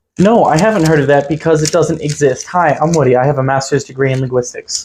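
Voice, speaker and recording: A man's very fast, somewhat breathy speech, fairly high in pitch, with ordinary pitch variation and very even loudness. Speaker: linguistics content creator. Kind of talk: reaction commentary video. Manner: assertive.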